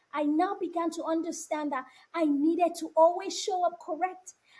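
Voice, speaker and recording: Passionate in tone, a woman speaks at an extremely high pitch with fairly even intonation. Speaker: panelist, doctor. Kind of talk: panel discussion.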